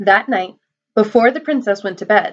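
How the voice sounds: Quiet background behind a natural reading voice of ordinary pitch variation.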